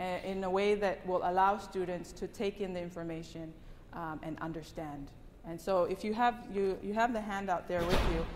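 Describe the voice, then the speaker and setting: Amid noticeable background noise and audible room echo, a woman with a Tongan accent speaks at a moderate pace and medium pitch with fairly even intonation. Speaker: English language teacher. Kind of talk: conference presentation.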